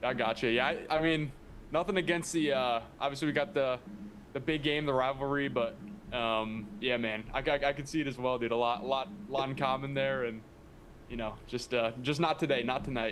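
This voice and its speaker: An ordinary speaking voice from a man at medium pitch, with ordinary pitch variation and a moderate pace. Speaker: former college baseball player. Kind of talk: casual chat.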